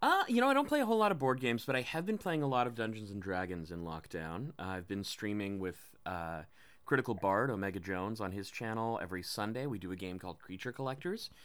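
Very fast and lively, a man speaks at a fairly low pitch. The recording is very clean, the background silent. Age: 30s. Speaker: voice actor and martial arts coach. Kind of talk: casual interview chat.

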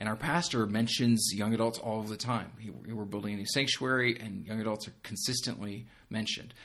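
Hardly pausing, a man talks at a fairly quick pace in an ordinary speaking voice, medium in pitch with fairly even intonation. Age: 30s. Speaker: young adult pastor. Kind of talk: casual interview.

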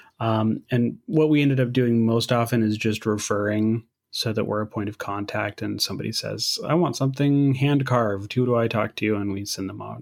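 With a plain, everyday voice, a man speaks at medium pitch and a moderate pace, using fairly even intonation and hardly any pauses. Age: 30s. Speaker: podcast host. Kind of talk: casual interview.

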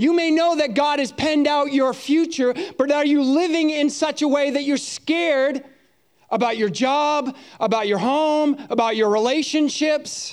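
This man has an American accent and an extremely high pitch, speaking at a moderate pace with ordinary pitch variation and very even loudness. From US Northeast. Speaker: pastor. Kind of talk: sermon. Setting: church.

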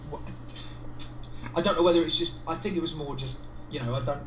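An English accent amid noticeable background noise. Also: man. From England. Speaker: guest. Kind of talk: casual chat.

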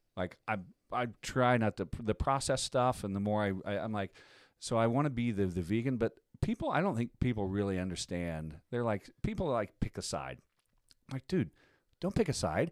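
Recorded very cleanly against a silent background, this speaker has an American accent, a moderate pace and lively intonation. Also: man, medium pitch for a man. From US Midwest. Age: 50s. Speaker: voice-over artist and musician. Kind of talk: casual chat. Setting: studio.

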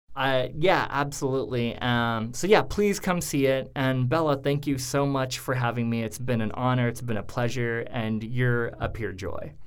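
With an American accent, a man speaks at a moderate pace with hardly any pauses, his medium pitch showing ordinary variation over audible room echo. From US Northwest, Idaho (Coeur d'Alene). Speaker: theater director and actor. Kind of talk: casual interview. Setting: studio.

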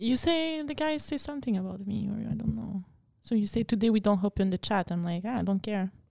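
Her voice is dark and mellow, medium in pitch, with lively intonation. This woman talks at a fairly quick pace. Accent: French. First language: French. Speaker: podcast co-host. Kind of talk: casual chat.

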